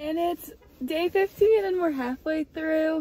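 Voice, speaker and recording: A woman with an American accent swings her pitch very widely. The sound is dry, with no echo. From Massachusetts, US. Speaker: student athlete vlogger; student vlogger. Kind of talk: casual vlog; casual vlog chat. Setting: in a car. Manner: casual, filler-heavy. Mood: chatty, light. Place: car. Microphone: phone near.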